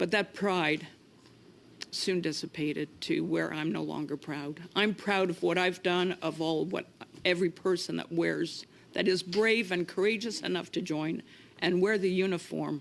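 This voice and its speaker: At a moderate pace, a woman with a fairly low pitch speaks with vocal fry and fairly even intonation. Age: 60s. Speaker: retired military nurse, Gulf War veteran. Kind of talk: committee testimony. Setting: parliamentary committee hearing. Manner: halting.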